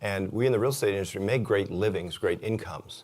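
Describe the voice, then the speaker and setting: At a fairly quick pace, a man with a fairly low pitch speaks in an ordinary speaking voice on a very clean recording with a silent background. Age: 60s. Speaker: real estate agent and investor, conference speaker. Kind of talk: conference talk. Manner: casual, conversational with fillers.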